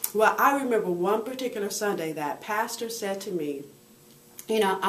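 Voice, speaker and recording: A woman talks at a fairly quick pace with an animated tone and medium pitch. Room echo is audible around her voice. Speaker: motivational speaker and women's coach. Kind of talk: video blog monologue. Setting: on the road.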